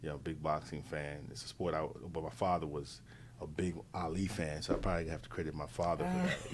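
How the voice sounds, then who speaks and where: In an American accent, a man with a very deep, low pitch speaks at a fairly quick pace and with fairly even intonation, with audible room echo. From New York. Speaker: interview guest. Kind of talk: casual interview chat. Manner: halting, many fillers and repeats.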